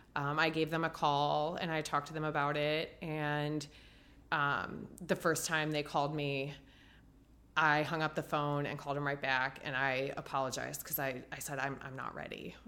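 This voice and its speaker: Bright, sharp tone in a US Midwestern accent, monotone, flat intonation at a moderate pace. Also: woman, very deep, low pitch for a woman. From Ohio, US Midwest. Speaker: marathon runner and cancer survivor. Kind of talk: casual interview.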